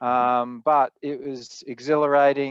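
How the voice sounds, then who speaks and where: In an Australian accent, a man speaks with monotone, flat intonation. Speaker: spirits producer, panelist. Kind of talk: panel discussion.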